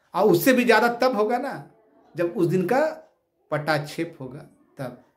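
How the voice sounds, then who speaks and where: Lively in intonation and animated in tone, a man speaks amid audible room echo. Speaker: activist leader of job aspirants. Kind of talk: video address to followers.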